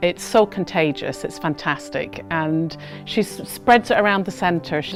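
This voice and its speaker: With music in the background, a woman at a fairly low pitch speaks at a moderate pace, her voice making very wide pitch swings. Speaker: charity staff member. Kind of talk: interview answer.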